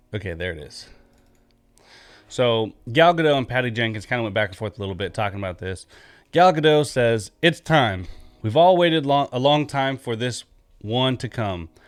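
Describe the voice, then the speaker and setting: Over music in the background, a man with a medium-pitched voice talks at a moderate pace with lively intonation and long, frequent pauses. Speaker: gaming news youtuber. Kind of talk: casual news commentary. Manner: casual, rambling with fillers.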